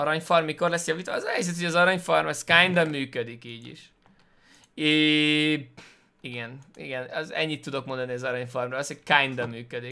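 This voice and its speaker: With a bright, sharp tone, a man talks fairly quickly in a fairly high voice. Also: ordinary pitch variation, big swings in loudness. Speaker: gaming streamer. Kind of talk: let's play commentary. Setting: home. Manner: halting.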